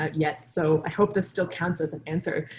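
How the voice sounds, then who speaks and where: A woman talks at a moderate pace in a somewhat breathy voice with fairly even intonation. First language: Urdu. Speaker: scientist and science communicator. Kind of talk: webinar interview.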